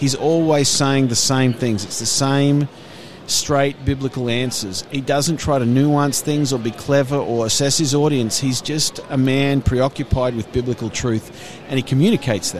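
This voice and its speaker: A man with an Australian accent speaks at a moderate pace and medium pitch with fairly even intonation, over noticeable background noise. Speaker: ministry staff worker. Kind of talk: casual interview chat. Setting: conference booth.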